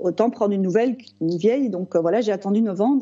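A woman talks with lively intonation. Her pace is very fast. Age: 40s. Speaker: type 1 diabetic patient. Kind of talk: casual interview. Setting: video call. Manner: halting.

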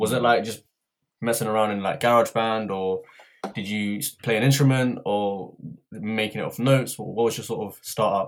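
Speaking in a normal speaking voice, a man keeps a medium pitch, a moderate pace and fairly even intonation. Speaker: podcast co-host. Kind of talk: casual chat.

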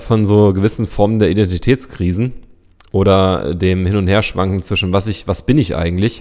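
A man with a fairly low pitch on a very clean recording with a silent background. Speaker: podcast co-host. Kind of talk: casual chat.

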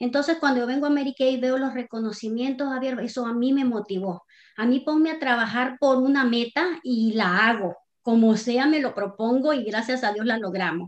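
Her voice is high in pitch. The woman speaks with ordinary pitch variation. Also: moderate pace. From Nicaragua. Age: 50s. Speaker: author and cosmetics entrepreneur. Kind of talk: casual interview.

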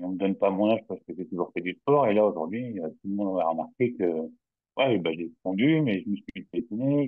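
With a plain, everyday voice, a man speaks at a fairly quick pace with lively intonation. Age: 40s. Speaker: client testimonial, railway worker. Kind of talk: testimony.

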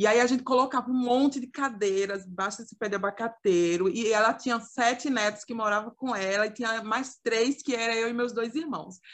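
Against a quiet background, a woman with a fairly high pitch talks at a fairly quick pace with fairly even intonation and hardly any pauses. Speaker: youth ministry podcast co-host. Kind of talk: casual chat. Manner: talkative.

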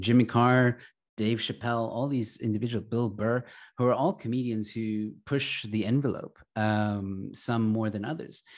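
With an American accent and an unremarkable speaking voice, a man talks at a moderate pace and medium pitch with fairly even intonation, on a very clean recording with a silent background. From Texas and Egypt. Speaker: comedian and YouTuber. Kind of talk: interview conversation.

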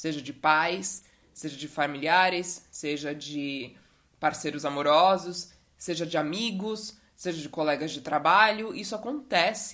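Speaking at a fairly slow pace, a woman uses a fairly low pitch with lively intonation. Her tone is bright and sharp, and her loudness swings widely. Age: 20s. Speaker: podcast host. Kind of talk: casual monologue. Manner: animated.

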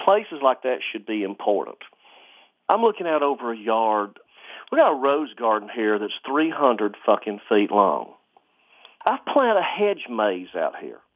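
With an Alabama accent, a man of medium pitch speaks at a fairly slow pace, his voice making very wide pitch swings. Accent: Southern US (Alabama). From US South, rural Alabama. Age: 40s. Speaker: antique clock restorer. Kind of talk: casual chat.

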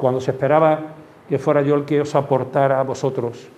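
There is audible room echo as a man with a fairly high voice talks at a moderate pace. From Andalusia, Málaga. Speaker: terrorism victim and former Civil Guard officer. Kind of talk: testimony. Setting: school classroom talk. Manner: halting.

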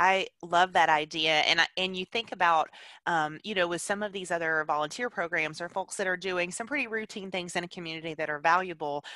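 Here is a woman with a Southern US accent, fairly low in pitch, with a bright, sharp tone and ordinary pitch variation. She speaks at a fairly quick pace with hardly any pauses, in a dry, close sound with no echo. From Alabama. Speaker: podcast host. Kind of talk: interview. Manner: animated.

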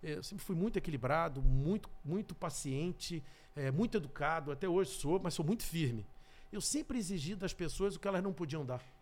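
The intonation here is lively. Delivery is at a moderate pace. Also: man, high pitch for a man. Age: 50s. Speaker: sales trainer and speaker. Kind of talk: interview.

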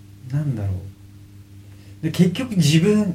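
A man speaks in a dark, mellow, somewhat breathy tone with very wide pitch swings. Room echo is audible. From Kanagawa, Japan (Kugenuma, Fujisawa). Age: 30s. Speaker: professional surfer. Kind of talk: interview. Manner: casual.

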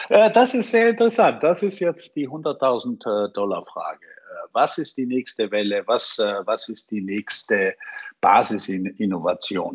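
A man speaks at a very slow pace in a dry, close sound with no echo. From Austria. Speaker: IT expert, former hotelier. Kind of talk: podcast interview. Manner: halting, many fillers.

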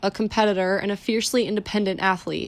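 The recording is very clean with a silent background, and a woman talks with a fairly high pitch and fairly even intonation. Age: 20s. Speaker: mental performance coach and podcast host. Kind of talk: reflective solo talk; reading aloud a personal letter. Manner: halting with fillers.

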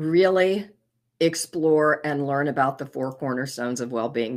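Recorded very cleanly against a silent background, the speaker has an American accent, a moderate pace and ordinary pitch variation. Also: woman. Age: 60s. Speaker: doctor of psychology and benzo withdrawal coach. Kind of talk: casual interview chat.

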